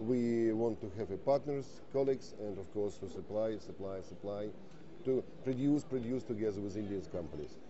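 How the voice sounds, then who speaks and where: A man's fairly low voice with a Russian accent, ordinary pitch variation and a moderate pace. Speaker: defence industry representative. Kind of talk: TV interview. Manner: halting.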